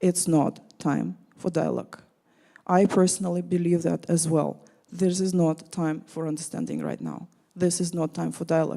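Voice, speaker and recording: A woman speaks with a Russian accent. Her pace is moderate. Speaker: panelist. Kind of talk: panel discussion.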